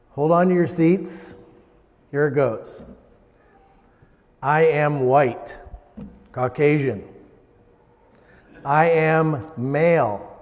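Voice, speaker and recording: Amid noticeable background noise and audible room echo, a man speaks at a very slow pace in a fairly high pitch, with ordinary pitch variation and long, frequent pauses. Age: 60s. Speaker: lay preacher. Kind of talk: sermon. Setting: church. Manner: hesitant.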